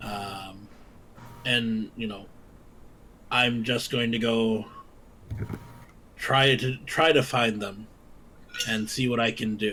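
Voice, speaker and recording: A man's raspy put-on character voice at medium pitch, very slow, with long, frequent pauses and clear background noise. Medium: actual play. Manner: formal, measured.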